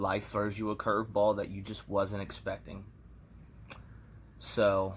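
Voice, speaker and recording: Flat, monotone intonation with vocal fry at a fairly slow pace. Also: man, fairly low pitch for a man. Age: 30s. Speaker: vlogger. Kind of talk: personal vlog monologue. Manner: casual, reflective.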